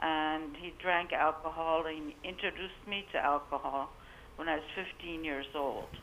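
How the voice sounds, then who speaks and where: A woman with a very deep, low voice talks at a moderate pace. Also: fairly even intonation. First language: not English. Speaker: caller. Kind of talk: call-in testimony. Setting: phone call.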